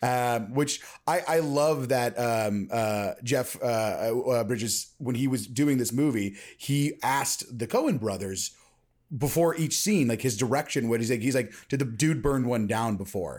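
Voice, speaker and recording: On a very clean recording with a silent background, a man with a medium pitch speaks at a fairly slow pace with very even loudness and ordinary pitch variation. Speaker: podcast host. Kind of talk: casual chat. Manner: loud, abrasive.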